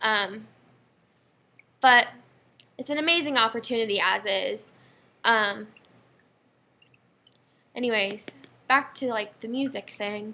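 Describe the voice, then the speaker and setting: A woman with a bright, sharp tone and fairly high pitch speaks at a fairly slow pace, leaving long, frequent pauses. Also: ordinary pitch variation. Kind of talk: casual talk to camera. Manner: rambling, slight stutter.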